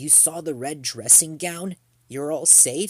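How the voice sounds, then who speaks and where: A man speaks at a fairly slow pace in a put-on character voice with fairly high pitch. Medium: read story.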